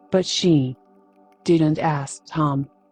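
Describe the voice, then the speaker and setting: A soft-spoken voice with ordinary pitch variation, music playing behind it. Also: woman. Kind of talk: sleep story.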